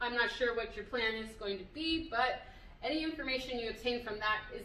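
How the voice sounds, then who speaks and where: At a moderate pace and with fairly even intonation, the voice carries audible room echo. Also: woman. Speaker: business coach. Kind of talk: tutorial. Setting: video recorded at a venue. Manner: casual with many fillers.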